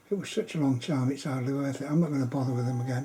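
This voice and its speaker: A man whispering at a very fast pace, somewhat breathy. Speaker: amateur artist. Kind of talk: casual monologue. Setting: at home late at night. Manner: halting.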